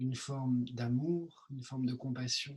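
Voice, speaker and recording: Speaking at a medium pitch, a man takes a very slow pace. Each word comes out unhurried. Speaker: meditation teacher. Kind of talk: meditation Q&A session. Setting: video call. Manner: soft-spoken; hesitant with many fillers.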